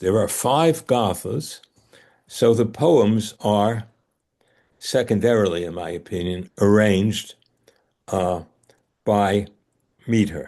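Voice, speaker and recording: A very slow, dark and mellow male voice with a Bronx accent, fairly low in pitch, ordinary pitch variation, and a quiet background. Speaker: scholar teaching ancient texts. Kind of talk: lecture in a study group. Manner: hesitant, many fillers.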